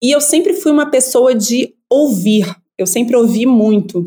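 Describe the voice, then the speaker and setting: Speaking at a fairly slow pace, a woman has a fairly high voice with a dark, mellow tone. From Brazil, Rio de Janeiro suburbs. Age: 40s. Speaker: anthropologist. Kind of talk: casual interview chat.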